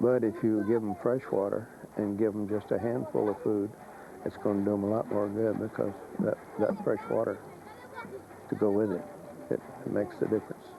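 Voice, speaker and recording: A man with a South Carolina accent talks at a fairly quick pace in a fairly low pitch, with fairly even intonation and long, frequent pauses. Noticeable background noise sits behind him. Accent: South Carolina Southern US. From US South. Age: 60s. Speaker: missionary preacher. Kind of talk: interview. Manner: halting, with repetitions.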